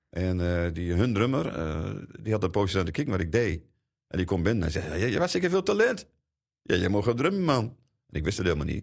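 In front of a quiet background, a man with a very deep, low pitch talks at a fairly quick pace with ordinary pitch variation. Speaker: drummer. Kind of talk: interview.

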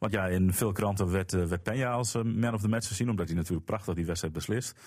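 In a very clean recording with a silent background, a man has a normal speaking voice. His pitch is fairly low, with ordinary variation. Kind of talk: casual chat.

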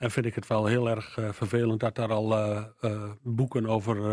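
Medium in pitch, this man's voice has monotone, flat intonation. He speaks at a moderate pace. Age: 60s. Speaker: local politician. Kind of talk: radio interview.

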